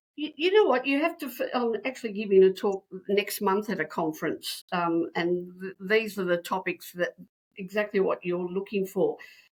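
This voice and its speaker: A woman at a medium pitch speaks at a moderate pace with lively intonation. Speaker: school principal and author. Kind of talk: interview. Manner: loud, animated.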